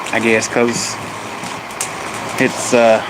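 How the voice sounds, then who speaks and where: This man speaks with an American accent in a medium pitch. Noticeable background noise runs behind him. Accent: Southern hillbilly. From US South, Appalachia. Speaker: family livestreamer. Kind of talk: casual live stream chat.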